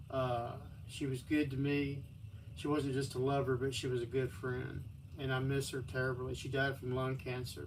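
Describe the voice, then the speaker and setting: Audible room echo frames a man speaking with a Texan accent. His pitch is medium, his pace moderate and his intonation fairly even. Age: 60s. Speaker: livestreamer. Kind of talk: personal storytelling on a livestream. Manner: halting.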